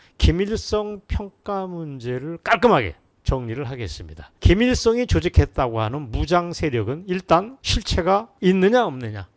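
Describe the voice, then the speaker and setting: In a very clean recording with a silent background, a man with a fairly high pitch talks at a fairly slow pace in an animated tone, his pitch swinging very widely. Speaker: political commentator. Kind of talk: political commentary monologue.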